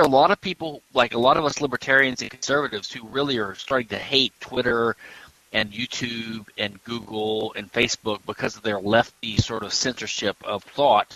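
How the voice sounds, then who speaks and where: A man speaks in a plain, everyday voice at medium pitch with an American accent and ordinary pitch variation. The pace is moderate, and the sound is dry and close with no echo. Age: 50s. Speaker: patent attorney. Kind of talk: interview.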